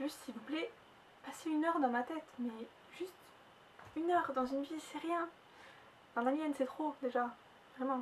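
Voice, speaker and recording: High-pitched female voice, its pitch varying in an ordinary way. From southern France. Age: 20s. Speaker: vlogger. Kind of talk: personal vlog testimony. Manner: fast.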